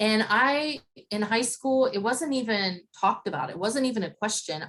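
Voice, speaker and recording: Talking at a moderate pace, a woman with an Appalachian Ohio accent uses lively intonation and a fairly high pitch. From Appalachian Ohio (Zanesville). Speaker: interviewee. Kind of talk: interview.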